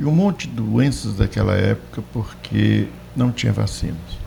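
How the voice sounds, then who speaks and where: A man's very deep, low pitch comes through at a fairly slow pace. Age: 60s. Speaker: debate panelist. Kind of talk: panel debate commentary.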